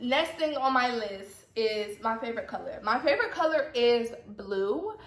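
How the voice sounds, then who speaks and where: A woman with a high pitch sounds animated, her intonation lively. Audible room echo and noticeable background noise accompany her. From US South, Atlanta, Georgia. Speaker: YouTuber. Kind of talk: casual vlog chat.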